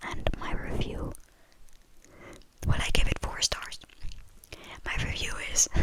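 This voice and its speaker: A woman whispers in a relaxed tone at a fairly slow pace, leaving long, frequent pauses. Noticeable background noise runs underneath. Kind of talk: whispered ramble about movies, casual talk to camera. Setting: quiet indoor recording for ASMR. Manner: whispered, soft, relaxed.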